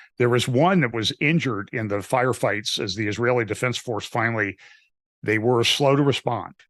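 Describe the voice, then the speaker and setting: A normal speaking voice at a moderate pace, ordinary pitch variation, quiet background. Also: man, medium pitch for a man. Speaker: pastor. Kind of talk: interview.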